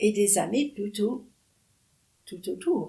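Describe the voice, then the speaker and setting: Lively in intonation, a woman's medium-pitched voice carries a dark, mellow tone with vocal fry. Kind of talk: interview answer. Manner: hesitant.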